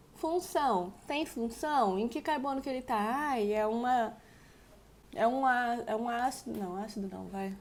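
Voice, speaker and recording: A woman talks at a fairly slow pace in a normal speaking voice. Her pitch is fairly high, and its variation is ordinary. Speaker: chemistry teacher. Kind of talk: lecture.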